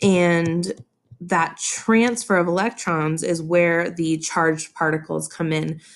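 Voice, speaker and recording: A woman's fairly low-pitched, an ordinary speaking voice with fairly even intonation. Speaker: chemistry teacher. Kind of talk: tutorial. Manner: casual, filler-heavy.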